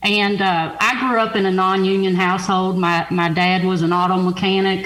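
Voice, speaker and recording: A Southern accent at a moderate pace, with monotone, flat intonation, audible room echo and noticeable background noise. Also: woman. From Kentucky, Louisville. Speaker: union official and letter carrier. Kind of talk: radio interview.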